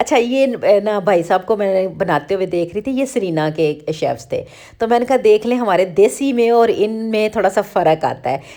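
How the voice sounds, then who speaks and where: A woman with a dark, mellow tone speaks with lively intonation and hardly any pauses. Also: medium pitch for a woman. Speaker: vlogger. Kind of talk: vlog voice-over narration.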